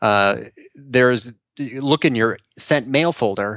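In a Chicago accent, the speaker shows ordinary pitch variation, with a dry, close sound and no echo. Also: man. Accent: Chicago-area American. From US Midwest, Chicago suburbs. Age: 40s. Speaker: content marketing strategist. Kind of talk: interview conversation.

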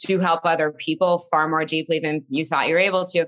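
The voice is raspy with a bright, sharp tone, moving at a fairly quick pace with little pitch movement. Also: woman.

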